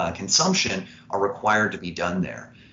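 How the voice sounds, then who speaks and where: With an American accent and lively intonation, a man talks at a fairly quick pace in a room with audible echo. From Indiana (Evansville, southern Indiana). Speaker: startup founder and CEO. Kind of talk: interview.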